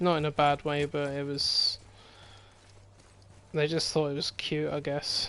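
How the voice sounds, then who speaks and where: A man's fairly high, bright, sharp voice with an English accent, monotone and flat, at a fairly slow pace broken by long, frequent pauses. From Scotland. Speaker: gaming streamer. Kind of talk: casual chat. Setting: live stream over gameplay.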